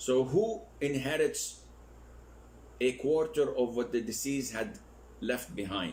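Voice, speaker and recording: A man's very slow speech carries audible room echo. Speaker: Islamic scholar teaching a course. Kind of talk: lecture. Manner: slow, deliberate.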